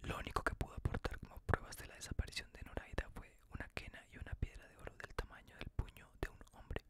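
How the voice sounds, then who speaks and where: Someone whispers softly at a very fast pace. The sound is dry with no echo, but the background noise is loud. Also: hardly any pauses. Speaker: reader of legends. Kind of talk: reading aloud, ASMR storytelling. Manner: soft whispered storytelling reading.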